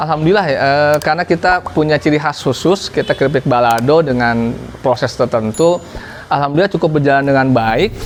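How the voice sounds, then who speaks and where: Noticeable background noise sits behind a man speaking fairly quickly. His pitch is fairly high, with ordinary variation. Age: 30s. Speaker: small business owner. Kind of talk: interview testimony.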